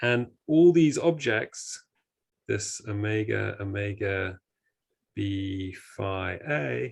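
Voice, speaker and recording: A man speaks very slowly in a fairly low, somewhat breathy voice with very wide pitch swings. Long, frequent pauses break his speech over a quiet background. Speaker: mathematical physicist. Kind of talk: lecture.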